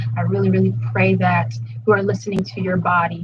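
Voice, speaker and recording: A somewhat breathy woman at a fairly quick pace. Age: young. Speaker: spoken word poet hosting a workshop. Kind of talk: live-streamed workshop talk. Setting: livestream at home. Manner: casual with frequent fillers.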